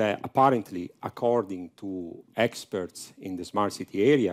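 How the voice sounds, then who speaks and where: A man with a strong Italian accent speaks at a fairly slow pace in a dry, close sound with no echo, on a very clean recording with a silent background. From Italy. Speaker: professor. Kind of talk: conference talk. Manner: halting, many fillers.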